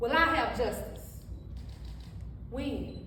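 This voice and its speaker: Noticeable background noise fills the clip. A woman speaks through it at a fairly slow pace. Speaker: spoken word poet. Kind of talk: spoken word poetry performance. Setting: live event, no microphone. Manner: emotional.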